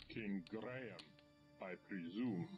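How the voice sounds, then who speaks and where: A man puts on a character voice with a fairly low pitch. Clear music plays in the background. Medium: video game. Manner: formal, measured.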